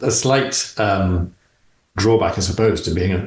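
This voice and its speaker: A man is speaking. His voice is somewhat breathy. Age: old. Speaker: actor. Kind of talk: interview answer.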